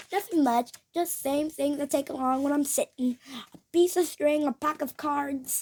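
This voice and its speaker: Putting on a character voice, a woman speaks high in pitch at a moderate pace. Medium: read story. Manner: jolly, forceful.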